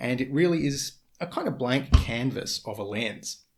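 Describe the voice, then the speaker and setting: Somewhat breathy and at a moderate pace, the speaker talks with an Australian accent. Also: man. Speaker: photography lens reviewer. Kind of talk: casual talk to camera.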